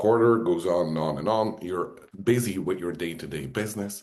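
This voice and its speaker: A man's fairly low voice with a non-native accent, moderate pace and ordinary pitch variation. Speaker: software trainer. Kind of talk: webinar presentation. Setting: video call webinar.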